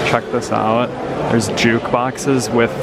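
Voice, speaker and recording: Loud background noise surrounds a man speaking fairly slowly in a dry sound with no echo. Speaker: travel vlogger. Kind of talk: casual vlog chat. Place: cafe. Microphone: phone near.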